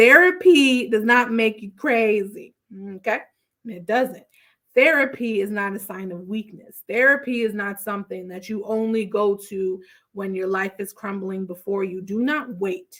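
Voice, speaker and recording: Fairly slow and animated, a woman speaks at a fairly high pitch with ordinary pitch variation and big swings in loudness. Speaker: therapist podcast host. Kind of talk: solo podcast recap.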